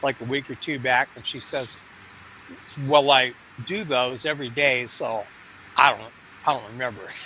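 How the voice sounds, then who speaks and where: Amid noticeable background noise, a man with a northern Michigan accent talks at a moderate pace. His pitch is medium. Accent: Midwestern, North Michigan. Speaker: community member sharing experience. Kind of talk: casual chat. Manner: halting.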